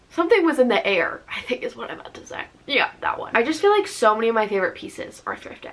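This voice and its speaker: Amid noticeable background noise, a woman talks fairly quickly, her pitch varying in an ordinary way. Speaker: lifestyle and book vlogger. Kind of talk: casual vlog talk to camera. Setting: at home alone. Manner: chatty, filler-heavy.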